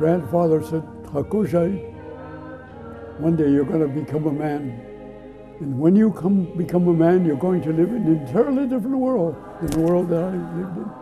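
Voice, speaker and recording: A man speaks at a moderate pace in a high pitch with lively intonation. He takes long, frequent pauses as music plays in the background. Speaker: Dakota elder interviewed for an oral history project. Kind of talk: personal storytelling, recounting own history.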